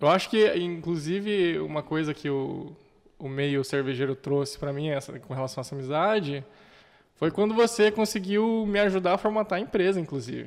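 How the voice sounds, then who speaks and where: A man with a normal speaking voice and fairly high pitch uses lively intonation. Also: moderate pace. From Brazil, Curitiba. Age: 20s. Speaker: entrepreneur, craft beer and restaurant owner. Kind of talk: casual chat.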